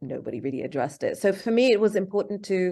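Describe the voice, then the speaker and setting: Over a quiet background, a woman speaks very fast in a British accent. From England (London). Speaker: filmmaker. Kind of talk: interview. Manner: halting.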